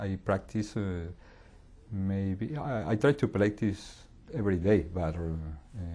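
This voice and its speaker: The voice has a dark, mellow tone and a somewhat breathy quality. It comes with a Colombian accent and ordinary pitch variation. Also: man. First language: Spanish. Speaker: English language learner. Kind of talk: interview. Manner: halting.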